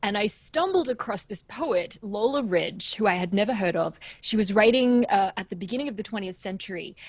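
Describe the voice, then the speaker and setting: A woman with an American accent, somewhat breathy and fairly high-pitched, at a fairly quick pace with hardly any pauses. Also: ordinary pitch variation. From Australia. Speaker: composer. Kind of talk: interview.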